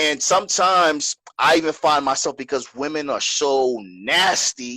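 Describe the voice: This man speaks at a fairly slow pace with a fairly high pitch, a bright, sharp tone, and a dry, close sound with no echo. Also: ordinary pitch variation.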